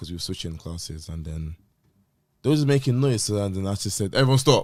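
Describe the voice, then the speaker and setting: A man with a London accent, lively intonation and a fairly quick pace, on a very clean recording with a silent background. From London, UK. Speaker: teacher, podcast co-host. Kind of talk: casual chat. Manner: energetic.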